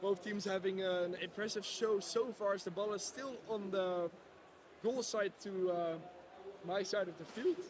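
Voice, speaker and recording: A man with a Dutch accent and a high pitch, fairly slow and fairly even in intonation, over noticeable background noise. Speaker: live stream commentator. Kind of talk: live commentary. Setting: robot football arena. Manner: hesitant, many fillers.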